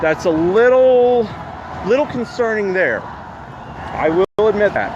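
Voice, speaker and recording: Spoken at a very slow pace with an American accent, the voice holds a very even loudness and ordinary pitch variation over noticeable background noise. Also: man, high pitch for a man. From US, DC area. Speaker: citizen journalist live streamer. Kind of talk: live street reporting. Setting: outdoors at street protest. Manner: halting with fillers.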